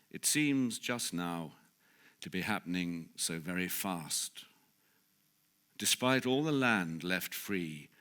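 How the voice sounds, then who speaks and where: In a very clean recording with a silent background, a man with an English accent speaks very slowly in a very deep, low voice, using lively intonation and long, frequent pauses. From England. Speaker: actor. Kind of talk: poetry reading. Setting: live event.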